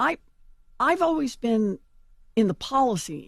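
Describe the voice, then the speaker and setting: Her pitch is high, and this woman swings very widely from low to high as she speaks. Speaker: politician. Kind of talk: interview answer. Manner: stammering, hesitant.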